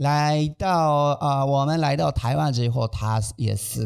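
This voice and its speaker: A man talks with a Japanese accent and lively intonation. The background is quiet. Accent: non-native Mandarin, Japanese. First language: Japanese (speaking Chinese). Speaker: manzai comedian, podcast co-host. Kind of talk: casual chat. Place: studio. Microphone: studio mic.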